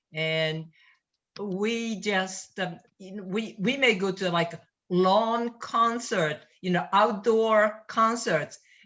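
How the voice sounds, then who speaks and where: Talking very slowly with a non-native accent, a woman keeps a medium pitch and ordinary pitch variation while her loudness swings widely. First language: not English. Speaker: toastmasters club member. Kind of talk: casual chat. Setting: video call.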